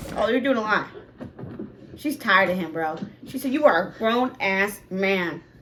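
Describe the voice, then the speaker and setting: The speaker sounds animated, with lively intonation at a moderate pace and long, frequent pauses, over noticeable background noise. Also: woman, medium pitch for a woman. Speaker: reaction youtuber. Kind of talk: reaction commentary.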